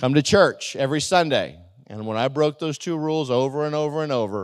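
In a very clean recording with a silent background, a man with a normal speaking voice talks at a fairly quick pace with lively intonation. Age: 50s. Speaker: pastor. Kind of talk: sermon. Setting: church.

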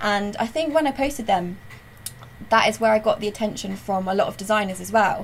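With a West Country accent, a woman talks at a fairly quick pace in a fairly high, somewhat breathy voice with ordinary pitch variation. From South West England, Weston-super-Mare. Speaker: graphic designer. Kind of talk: casual chat.

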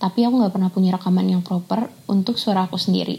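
A woman's very fast speech, somewhat breathy, medium in pitch, with fairly even intonation and a dark, mellow tone. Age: 20s. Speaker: sound recordist. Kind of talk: scripted self-introduction.

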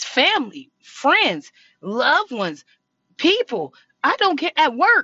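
This woman's speech is high-pitched, animated and fairly slow. Her pitch swings very widely. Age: 20s. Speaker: podcast host. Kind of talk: casual monologue.

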